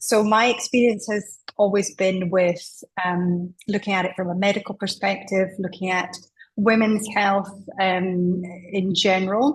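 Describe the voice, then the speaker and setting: The voice is somewhat breathy, with a Scottish accent. Its intonation is monotone and flat. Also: woman. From Scotland. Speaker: doctor, menopause specialist. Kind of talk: interview.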